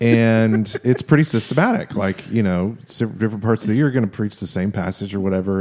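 His tone is dark and mellow. The man speaks at a fairly quick pace. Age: 40s. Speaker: podcast host. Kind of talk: casual chat. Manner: loud, dynamic.

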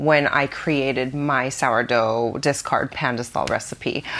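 A woman talks with a very deep, low pitch. Her pace is very slow. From Philippines (childhood). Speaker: food editor. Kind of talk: interview.

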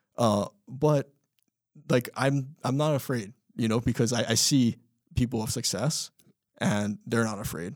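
A man with a Hawaiian accent speaks with long, frequent pauses in a dry, close sound with no echo. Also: medium pitch for a man, ordinary pitch variation, fairly slow pace. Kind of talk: casual interview chat. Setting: studio.

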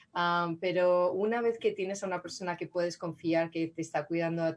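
Against a quiet background, a woman speaks in a fairly low pitch. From Spain, Madrid. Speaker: city councilwoman. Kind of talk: interview.

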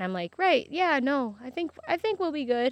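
In an American accent, the voice makes very wide pitch swings, recorded with a dry, close sound with no echo against a quiet background. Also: woman. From Michigan, US Midwest. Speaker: farmer. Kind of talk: interview. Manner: halting, many fillers.

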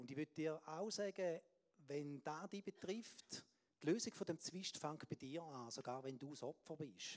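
Here is a man with an unremarkable speaking voice, fairly high in pitch, with ordinary pitch variation. He talks at a fairly slow pace, and the sound is dry and close with no echo. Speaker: preacher. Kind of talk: sermon.

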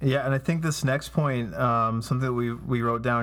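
A man's voice at medium pitch and a moderate pace, with fairly even intonation and noticeable background noise. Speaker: pastor and podcast co-host. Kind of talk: casual faith-based discussion. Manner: hesitant, many filler words.

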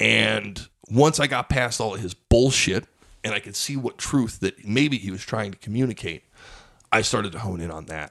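This man speaks in an American accent at a fairly low pitch, with vocal fry. His intonation is lively. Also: moderate pace, big swings in loudness, very clean recording, silent background. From Pueblo, Colorado. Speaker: stand-up comedian. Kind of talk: casual chat.

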